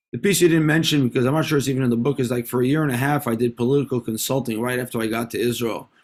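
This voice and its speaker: In a New York accent, a man speaks at medium pitch with fairly even intonation. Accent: American (New York). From US, New York City (Manhattan). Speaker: venture capitalist and author. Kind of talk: interview. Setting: video call.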